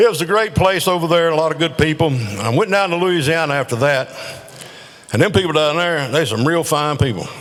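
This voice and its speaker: A man with a Southern US accent, a fairly high pitch and lively intonation at a moderate pace, over noticeable background noise. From North Carolina. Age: 70s. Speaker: amateur comedian. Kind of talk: stand-up. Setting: stage with audience.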